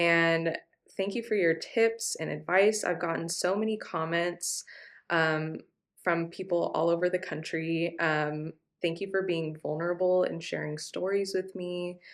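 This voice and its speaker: A woman with an American accent has a fairly low pitch and an ordinary speaking voice. The recording is very clean, with a silent background. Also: fairly even intonation, fairly slow pace. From California, US. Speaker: travel vlogger. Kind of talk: casual chat. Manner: casual, many fillers.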